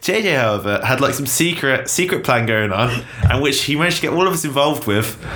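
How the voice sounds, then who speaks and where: The speaker has an English accent and lively intonation at a very fast pace. The recording carries audible room echo and noticeable background noise. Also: man, fairly high pitch for a man. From England. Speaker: podcast co-host. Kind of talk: casual chat.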